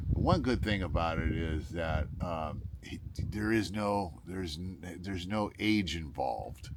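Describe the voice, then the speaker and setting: Against noticeable background noise and audible room echo, a man speaks at a very deep, low pitch. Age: 60s. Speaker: solo gigging musician and vlogger. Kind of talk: casual vlog talk. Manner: rambling with many fillers and false starts.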